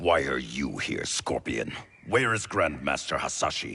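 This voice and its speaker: A man growls in a put-on character voice, very deep and low in pitch, at a moderate pace. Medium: video game. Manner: stern, suspicious.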